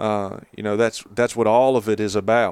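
With an Appalachian accent, a man talks in fairly even intonation, the sound dry and close with no echo. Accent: Appalachian Southern US. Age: 30s. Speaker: novelist. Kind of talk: casual chat. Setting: on location during a hunting trip.

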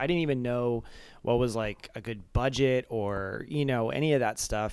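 On a very clean recording with a silent background, a man talks at a medium pitch with a General American accent. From Arizona suburb. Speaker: music video director. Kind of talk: casual interview. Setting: home kitchen, handheld mic.

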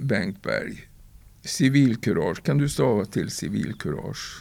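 Speaking at a very slow pace, a man swings his pitch very widely in a very clean recording with a silent background. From Sweden, northern Värmland (Torsby). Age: 70s. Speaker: poet. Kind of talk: interview.

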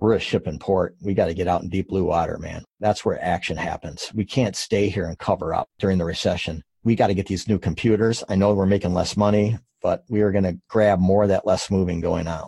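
Using a normal speaking voice, a man speaks at a fairly quick pace with hardly any pauses, a fairly low pitch and fairly even intonation. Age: 50s. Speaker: moving company founder and executive. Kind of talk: interview. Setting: remote interview from his office.

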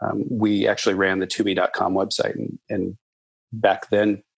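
A man speaks with an American accent at a moderate pace. His voice is unremarkable and fairly low in pitch. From US Midwest, Nebraska farm. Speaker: company executive. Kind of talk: interview.

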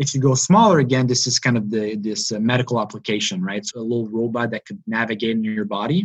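Speaking at a very fast pace with hardly any pauses, a man with medium pitch and ordinary pitch variation comes through in a dry, close sound with no echo. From Montreal, Quebec. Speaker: PhD student in engineering. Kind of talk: interview. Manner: halting.

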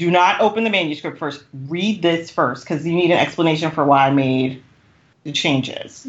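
Speaking at a moderate pace, a woman with a fairly low pitch and ordinary pitch variation has a plain, everyday voice. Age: 40s. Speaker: romance author. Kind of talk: casual chat. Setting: recording in person.

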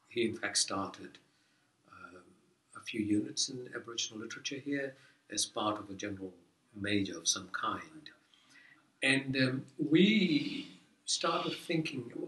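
A man with a Fijian accent, medium in pitch, bright and sharp in tone, with lively intonation, big swings in loudness, a fairly slow pace, and long, frequent pauses. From Fiji (Indo-Fijian). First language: Fiji Hindi. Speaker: professor. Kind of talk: casual interview. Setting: office. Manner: halting.

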